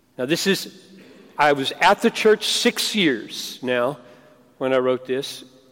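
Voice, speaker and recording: Speaking at a very slow pace with long, frequent pauses, a man uses a fairly high pitch with very wide swings, recorded with a dry, close sound and no echo. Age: 60s. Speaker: pastor and seminary teacher. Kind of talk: sermon. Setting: stage with audience.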